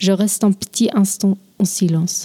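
In a Swiss German accent, a woman at medium pitch talks fairly slowly in a flat monotone, her somewhat breathy, dark, mellow tone sounding dry and close with no echo. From German-speaking Switzerland. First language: Swiss German (speaking French). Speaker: linguistics student. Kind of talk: scripted talk.

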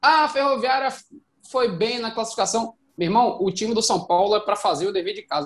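A man with a high pitch, lively intonation and a fairly quick pace. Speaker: football podcast co-host. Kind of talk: casual football chat. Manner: animated.

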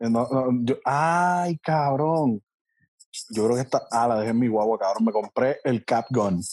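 A man with an unremarkable speaking voice talks at a fairly slow pace and medium pitch, his loudness very even and his pitch variation ordinary, in a dry, close sound with no echo. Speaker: podcast guest. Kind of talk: casual chat. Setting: video call.

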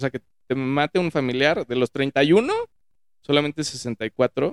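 Fairly high in pitch with ordinary pitch variation, a man speaks at a very slow pace with long, frequent pauses, in a dry, close sound with no echo. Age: 30s. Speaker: podcast guest, finance worker. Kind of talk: casual chat. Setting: studio, in person.

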